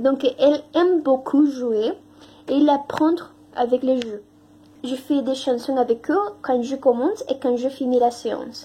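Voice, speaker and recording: At a very slow pace, a woman with a Spanish accent speaks in a high pitch with ordinary pitch variation. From Mexico. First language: Spanish (speaking French). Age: 20s. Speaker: language teaching assistant. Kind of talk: testimony. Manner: halting, many hesitations.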